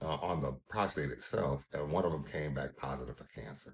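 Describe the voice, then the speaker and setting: The man's voice is very deep and low, with vocal fry. He talks at a moderate pace. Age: 50s. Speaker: caregiver, cancer patient. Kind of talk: testimony.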